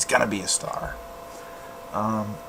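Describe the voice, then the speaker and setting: Fairly slow speech from a man amid noticeable background noise and audible room echo. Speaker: podcast host. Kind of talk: casual personal monologue. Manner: halting.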